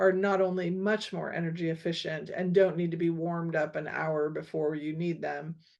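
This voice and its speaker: An unremarkable speaking voice at a moderate pace, fairly even in intonation, over a quiet background. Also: woman. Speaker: school board trustee. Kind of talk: community meeting update. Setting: online meeting.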